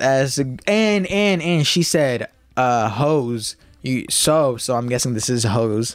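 Speaking at a fairly slow pace with lively intonation and very even loudness, this is a normal speaking voice. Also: man. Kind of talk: casual chat. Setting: studio.

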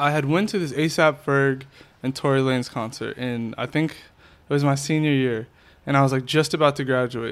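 A man with an American accent and an ordinary speaking voice, pitched fairly high and delivered with fairly even intonation. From Worcester, Massachusetts. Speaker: music video director. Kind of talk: casual interview chat.

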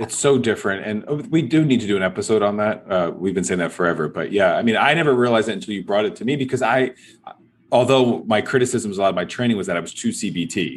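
A man with an American accent talks very fast at a medium pitch, with ordinary pitch variation. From US East Coast, New York. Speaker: psychologist podcast host. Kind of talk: casual chat.

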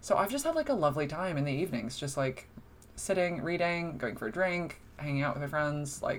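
A woman with a very deep, low voice talks at a fairly quick pace with ordinary pitch variation, and audible room echo can be heard. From US Northeast, New Jersey shore. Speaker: film critic. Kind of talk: casual chat. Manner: animated.

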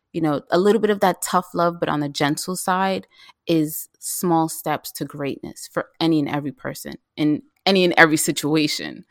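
With a New York accent, the speaker talks at a moderate pace with ordinary pitch variation in a very clean recording, the background silent and the sound dry and close with no echo. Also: woman, fairly low pitch for a woman. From New York City (South Bronx). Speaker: vegan chef. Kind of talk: casual interview.

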